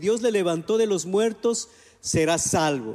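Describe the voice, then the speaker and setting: A man with an Ecuadorian accent talks at a moderate pace. His pitch is high, with lively intonation. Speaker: pastor. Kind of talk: sermon.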